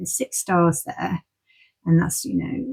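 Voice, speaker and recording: A woman with an English accent speaks in a somewhat breathy, medium-pitched voice with lively intonation and a dry, close sound with no echo. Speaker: tarot card reader. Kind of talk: tarot reading. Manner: fast.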